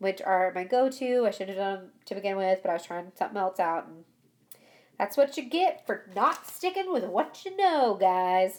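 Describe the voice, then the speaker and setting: A woman with an unremarkable speaking voice talks at a moderate pace in a medium pitch, with lively intonation and big swings in loudness. The recording is very clean, with a silent background. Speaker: beauty vlogger. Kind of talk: makeup tutorial voiceover.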